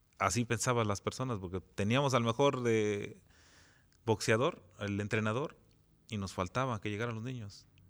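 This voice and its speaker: A man with a plain, everyday voice talks at a moderate pace, his medium pitch showing ordinary pitch variation. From Jantetelco, Morelos, Mexico. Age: 40s. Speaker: municipal president. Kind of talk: interview.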